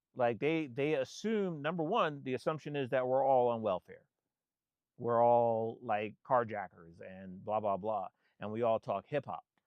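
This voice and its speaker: Lively intonation marks this speech, delivered at a moderate pace in an American accent. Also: man. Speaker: photographer and vlogger. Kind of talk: casual monologue. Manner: halting, many repetitions and restarts.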